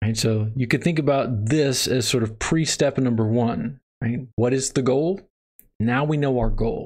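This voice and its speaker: Against a quiet background, a man of medium pitch talks at a fairly slow pace, his loudness very even. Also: ordinary pitch variation. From Texas. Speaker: math instructor. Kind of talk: lecture. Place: home room.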